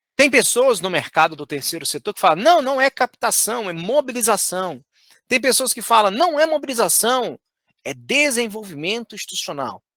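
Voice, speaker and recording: A man's high-pitched, bright, sharp voice in a Minas Gerais accent, with very wide pitch swings and a moderate pace. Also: dry, close sound with no echo. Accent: Minas Gerais accent, unchanged. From Brazil, Minas Gerais. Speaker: fundraising trainer. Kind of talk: online course lecture.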